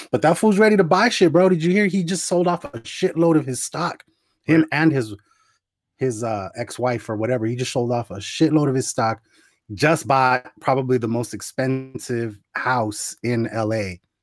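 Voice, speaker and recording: A man's plain, everyday voice with an American accent, medium in pitch, at a moderate pace with lively intonation. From Tucson, Arizona. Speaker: podcast guest. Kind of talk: casual banter podcast.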